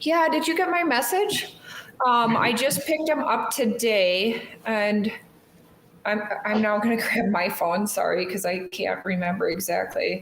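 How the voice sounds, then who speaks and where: With very even loudness but very wide pitch swings, a woman mumbles in a fairly high voice at a fairly slow pace, with audible room echo. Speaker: knife shop co-host. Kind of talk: live stream casual chat. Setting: live stream. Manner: mumbling.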